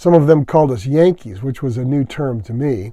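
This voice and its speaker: Very clean and set against a silent background, the recording carries a man's dark, mellow tone. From US Midwest (Kansas, Illinois, Michigan; teen years in eastern Kentucky). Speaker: storyteller recounting childhood memories. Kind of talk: scripted narration.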